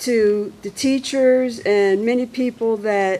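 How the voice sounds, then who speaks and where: A woman talks with ordinary pitch variation, and noticeable background noise can be heard. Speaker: member of the public commenting at a school board meeting. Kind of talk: public comment. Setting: public board meeting. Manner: slow, halting.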